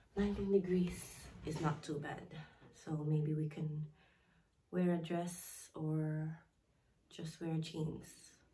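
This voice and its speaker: A woman speaks very slowly with a very deep, low pitch and a dark, mellow tone, her fairly even intonation somewhat breathy, broken by long, frequent pauses over light background noise. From Philippines. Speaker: vlogger. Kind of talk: casual vlog chat. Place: home room. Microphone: phone near.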